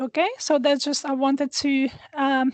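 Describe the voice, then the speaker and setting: The voice comes with a Hungarian accent and fairly even intonation. The sound is dry and close with no echo, over a quiet background. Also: woman. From Hungary. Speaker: astrologer. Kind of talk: astrology forecast talk. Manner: hesitant, many fillers. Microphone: new small microphone.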